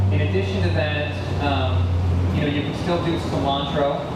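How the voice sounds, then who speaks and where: Through loud background noise and audible room echo, a man talks at a fairly quick pace. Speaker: presenter. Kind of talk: lecture. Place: garden.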